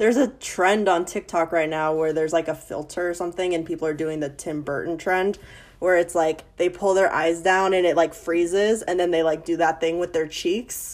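A woman's fairly low voice, an unremarkable speaking voice, at a moderate pace with fairly even intonation. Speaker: podcast guest. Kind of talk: casual chat.

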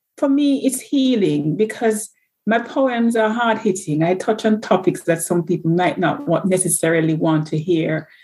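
In a very clean recording with a silent background, a woman speaks at medium pitch and moderate pace with a dark, mellow, somewhat breathy tone, lively intonation and very even loudness. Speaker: nurse. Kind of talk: casual interview.

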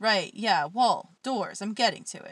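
Recorded very cleanly, dry and close with no echo against a silent background, a woman speaks at a medium pitch and moderate pace in an unremarkable speaking voice. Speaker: podcast host and poet. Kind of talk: poetry reading, spoken word. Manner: dark, intense, raw, cutting delivery in the poems; self-deprecating, casual chat between poems.

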